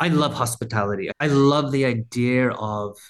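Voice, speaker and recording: This man has an Australian accent and a medium pitch. He speaks at a fairly slow pace. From rural Australia. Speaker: brand founder and former advertising creative. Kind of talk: casual chat.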